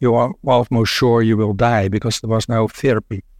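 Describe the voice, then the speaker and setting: A man with a Dutch accent speaks at a medium pitch. The sound is dry and close with no echo, on a very clean recording with a silent background. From Netherlands. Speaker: internist immunologist, symposium chair. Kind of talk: moderated medical symposium. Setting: stage with audience. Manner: halting, many fillers.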